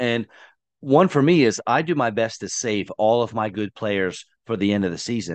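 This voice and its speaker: Against a quiet background, a man with a normal speaking voice talks at a moderate pace and medium pitch, his intonation lively. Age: 30s. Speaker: fantasy football podcast host. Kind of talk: casual chat.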